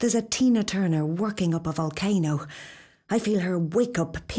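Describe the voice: The speech is plain reading aloud with ordinary pitch variation.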